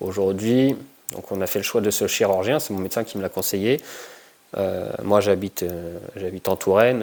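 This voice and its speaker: Speaking at a moderate pace, a man has a fairly low pitch with ordinary variation. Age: 30s. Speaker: combat sports and fitness coach. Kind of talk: personal testimony. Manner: halting, many hesitations.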